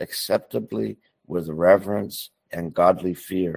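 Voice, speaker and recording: A man speaks at a very slow pace. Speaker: show team member. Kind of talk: casual chat and spoken prayer.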